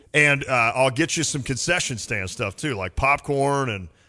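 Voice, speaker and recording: The voice is loud with a bright, sharp tone, set against a quiet background. It moves at a fairly slow pace. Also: man. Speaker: sports radio host. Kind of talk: casual sports talk. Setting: studio.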